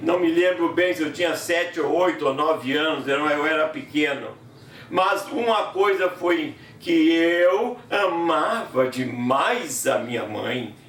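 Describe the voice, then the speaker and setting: Over noticeable background noise and audible room echo, a man speaks very slowly with a high pitch and lively intonation. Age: 70s. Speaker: preacher and gospel singer. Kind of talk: sermon.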